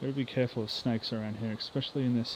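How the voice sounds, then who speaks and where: An Australian accent marks this man's speech, delivered at a medium pitch with fairly even intonation. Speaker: YouTuber exploring abandoned places. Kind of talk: casual vlog walkthrough. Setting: outdoors, abandoned wildlife park.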